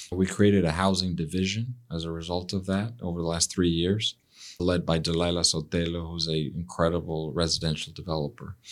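In a Spanish accent, a man with a very deep, low voice speaks at a fairly quick pace with fairly even intonation, in a very clean recording with a silent background. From Mexico City, Mexico. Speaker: real estate CEO guest. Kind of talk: casual interview conversation.

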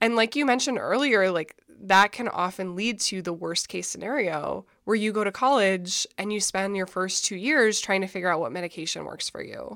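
With an ordinary speaking voice, a woman talks at a moderate pace with hardly any pauses, her medium pitch showing ordinary variation. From Minnesota. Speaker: author and mental health advocate. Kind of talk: interview.

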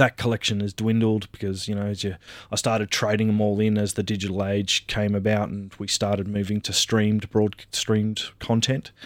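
With an Australian accent, a man speaks at a fairly quick pace with hardly any pauses, using a fairly low pitch and flat, monotone intonation. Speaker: IT worker and anime fan. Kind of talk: casual chat. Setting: remote recording studio.

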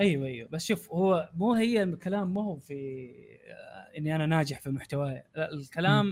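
With an ordinary speaking voice, a man talks at a moderate pace and ordinary pitch variation. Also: fairly high pitch for a man. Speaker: YouTuber. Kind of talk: casual podcast chat.

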